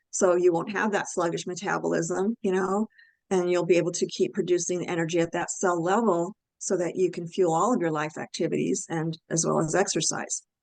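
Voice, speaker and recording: At a fairly quick pace, a woman with an unremarkable speaking voice talks in a fairly low pitch with fairly even intonation. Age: 60s. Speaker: health and nutrition expert. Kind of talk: expert interview on a webinar call. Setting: online group call.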